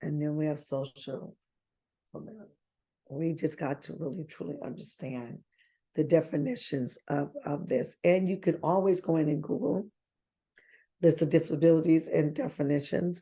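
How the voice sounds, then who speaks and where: Very deep and low in pitch, a woman's voice with a dark, mellow tone moves at a moderate pace, with long, frequent pauses. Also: ordinary pitch variation. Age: 60s. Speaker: travel agent and team trainer. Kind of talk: online training session. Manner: conversational, repetitive.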